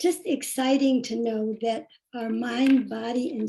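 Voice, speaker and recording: Her tone is dark and mellow, with a fairly high pitch. This woman talks at a fairly slow pace. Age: 80s+. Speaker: yoga teacher introducing speaker. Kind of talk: speaker introduction. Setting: video call.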